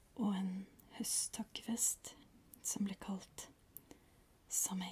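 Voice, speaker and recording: The speaker is a woman, whispering. She goes at a very slow pace. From Norway. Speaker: ASMR creator. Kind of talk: ASMR educational talk. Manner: whispered, soft-spoken. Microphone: studio mic.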